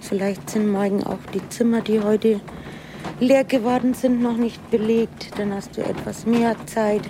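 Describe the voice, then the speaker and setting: A woman speaks at a fairly slow pace in a fairly high, monotone voice with flat intonation, over noticeable background noise. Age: 60s. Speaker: hospital cleaner. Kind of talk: interview and work narration.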